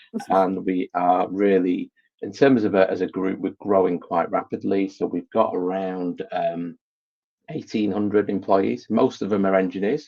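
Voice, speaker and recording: This man has a Manchester accent and a fairly low pitch. He talks at a moderate pace with ordinary pitch variation. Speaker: IT director. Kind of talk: interview.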